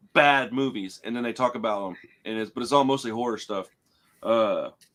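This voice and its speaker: A man with a normal speaking voice talks at a fairly quick pace with fairly even intonation. The recording is very clean, with a silent background. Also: medium pitch for a man. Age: 40s. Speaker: podcast host. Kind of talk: casual chat. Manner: casual, filler-heavy.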